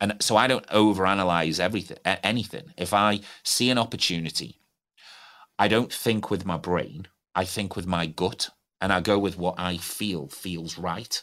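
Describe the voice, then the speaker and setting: Very deep, low-pitched male voice with ordinary pitch variation at a moderate pace. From English Midlands, Stoke-on-Trent. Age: 40s. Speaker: business owner. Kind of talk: interview.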